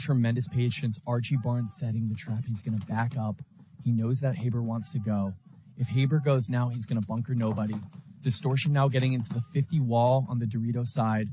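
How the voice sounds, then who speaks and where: A quiet man at a medium pitch, speaking at a fairly quick pace with ordinary pitch variation. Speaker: paintball commentator. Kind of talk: live commentary. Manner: lowered voice, quieter.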